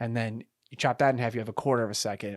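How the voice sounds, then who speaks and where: A man is heard in a very clean recording with a silent background. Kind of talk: casual chat. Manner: halting.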